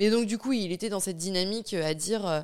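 A woman's normal speaking voice at a fairly quick pace with ordinary pitch variation. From France. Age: 20s. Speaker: domestic violence survivor. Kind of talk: testimony.

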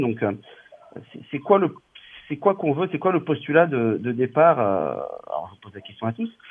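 A man with a fairly high voice speaks at a fairly quick pace with long, frequent pauses, very wide pitch swings and big swings in loudness. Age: 40s. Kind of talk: casual chat.

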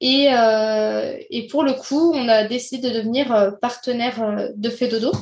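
A high-pitched woman's very slow speech with hardly any pauses, fairly even intonation, and audible room echo. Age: 20s. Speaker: childcare professional, club co-founder. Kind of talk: casual interview. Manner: hesitant, many fillers.

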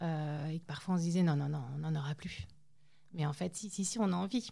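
A woman's somewhat breathy voice has a dark, mellow tone and fairly even intonation. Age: 30s. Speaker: mother of premature babies. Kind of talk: testimony.

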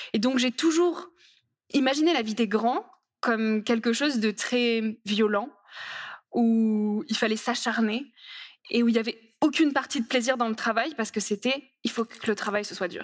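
With long, frequent pauses, a woman speaks at a fairly slow pace and fairly high pitch, using ordinary pitch variation. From rural France. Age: 20s. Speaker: author and speaker. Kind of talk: conference talk.

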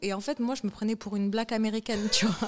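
A woman with a plain, everyday voice, fairly high pitch and fairly quick pace. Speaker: TV presenter and producer. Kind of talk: casual interview.

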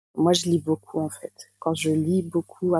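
On a very clean recording with a silent background and a dry, close sound with no echo, a woman speaks at a fairly slow pace in a very deep, low voice with a dark, mellow tone. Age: 20s. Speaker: patient sharing her eating disorder experience. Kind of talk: testimony.

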